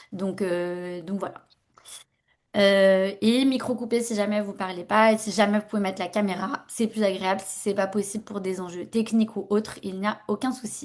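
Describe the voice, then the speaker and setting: A woman talks at a moderate pace and a medium pitch, with fairly even intonation. The background is quiet. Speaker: workshop facilitator. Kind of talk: online workshop presentation. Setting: video call. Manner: hesitant, many fillers.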